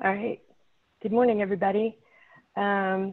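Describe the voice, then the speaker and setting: This woman's voice is shaky and medium in pitch, moving at a fairly quick pace. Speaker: city traffic safety manager. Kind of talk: presentation.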